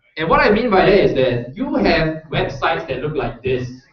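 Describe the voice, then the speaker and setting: Very wide pitch swings in a man's fairly high voice, with audible room echo. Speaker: workshop instructor. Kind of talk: tutorial.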